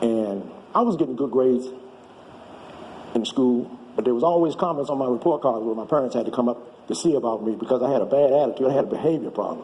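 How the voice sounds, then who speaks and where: A man speaking very fast at a medium pitch, with ordinary pitch variation, is heard over noticeable background noise. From Washington, D.C. area (Maryland). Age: 70s. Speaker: storyteller. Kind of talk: testimony.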